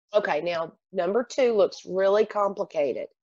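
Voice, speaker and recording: An ordinary speaking voice comes at a moderate pace in a dry, close sound with no echo. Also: woman. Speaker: math teacher. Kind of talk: tutorial.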